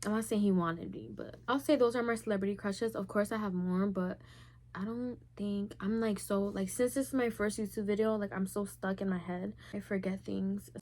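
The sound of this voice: At a moderate pace, a woman speaks with a slightly mellow tone, medium pitch and fairly even intonation.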